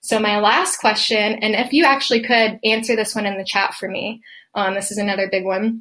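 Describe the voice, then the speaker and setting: A woman with a plain, everyday voice, pitched fairly high, talks at a moderate pace with fairly even intonation. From Atlanta, Georgia, US South. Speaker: occupational therapist and podcaster. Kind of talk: podcast solo talk, live-style presentation.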